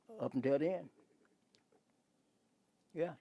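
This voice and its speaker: The man's voice has a dark, mellow tone. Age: 80s+. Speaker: civil rights activist. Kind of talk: interview answer.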